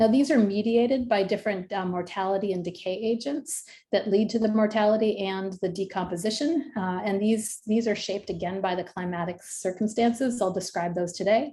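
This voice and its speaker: Speaking fairly quickly with hardly any pauses, the woman has a medium-pitched, dark, mellow, somewhat breathy voice and ordinary pitch variation. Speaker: professor, ecologist. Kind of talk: lecture. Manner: fast.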